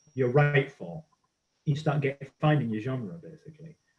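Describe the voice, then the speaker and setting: Speaking at a fairly quick pace, a man uses ordinary pitch variation in a somewhat breathy voice. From northern England, Middlesbrough. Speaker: archaeologist and comedian. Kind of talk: casual chat. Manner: animated.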